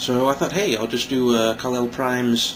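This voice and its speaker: Over noticeable background noise, a man with an American accent speaks fairly quickly at a medium pitch. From Kansas. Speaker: toy reviewer. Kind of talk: casual talk to camera. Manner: smug.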